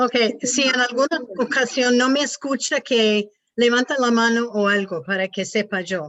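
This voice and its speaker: A woman with a non-native accent speaks at a high pitch and a fairly slow pace. Her pitch varies ordinarily, and her loudness stays very even. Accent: non-native Spanish, rusty. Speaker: missionary, pastor's wife. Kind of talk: devotional talk. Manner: halting.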